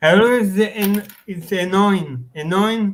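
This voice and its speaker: Speaking at a very slow pace with a non-native accent, a man keeps his intonation fairly even. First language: not English. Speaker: live stream chat participant. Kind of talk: casual chat. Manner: halting.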